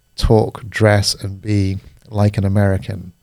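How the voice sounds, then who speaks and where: The speaker has a British accent. The pace is very slow. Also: man. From Singapore, then Paris (international schools). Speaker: life coach. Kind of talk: casual conversation.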